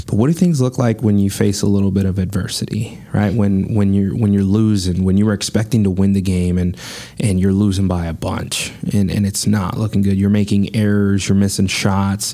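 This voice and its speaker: Over noticeable background noise, a man with a fairly low pitch talks at a fairly quick pace with fairly even intonation and very even loudness. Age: 30s. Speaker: podcast co-host. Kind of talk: casual chat.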